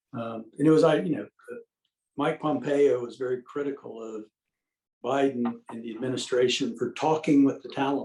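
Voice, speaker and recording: A plain, everyday voice at a moderate pace. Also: man. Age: 60s. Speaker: retired military officer and political commentator. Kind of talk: interview.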